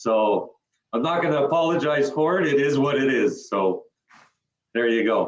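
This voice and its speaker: A man keeps a moderate pace while his pitch varies in an ordinary way. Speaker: panel guest. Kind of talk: panel discussion.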